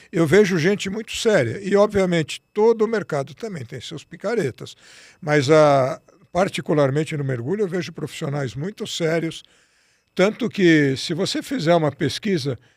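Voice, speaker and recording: The man's voice is high in pitch, with lively intonation. He keeps a moderate pace while his loudness swings widely. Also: very clean recording, silent background. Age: 60s. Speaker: physician and diving instructor. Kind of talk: interview.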